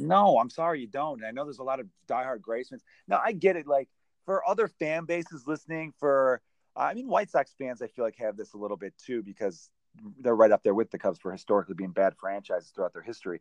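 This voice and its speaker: Talking very fast with an American accent, a man at medium pitch makes very wide pitch swings and big shifts in loudness, the sound dry and close with no echo. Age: 30s. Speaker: comedian and podcast host. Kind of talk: casual chat.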